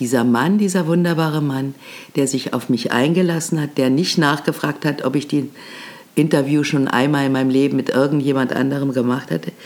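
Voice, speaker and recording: Speaking at a moderate pace, a woman with a very deep, low pitch uses ordinary pitch variation. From Germany, Berlin. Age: 80s+. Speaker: podcast host, veteran radio and TV presenter. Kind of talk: storytelling monologue. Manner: animated.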